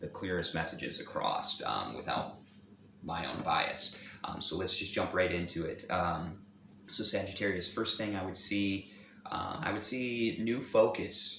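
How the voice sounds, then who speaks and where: A man speaks at a fairly slow pace amid audible room echo and noticeable background noise. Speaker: tarot reader. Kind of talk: tarot reading. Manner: halting, many fillers and repetitions.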